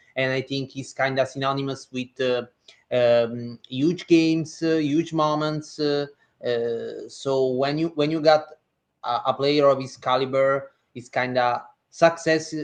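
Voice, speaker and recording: A man talks with an Italian accent. His pitch sits fairly high. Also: fairly even intonation, fairly slow pace. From Italy. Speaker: basketball reporter. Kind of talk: casual podcast discussion. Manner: some hesitations.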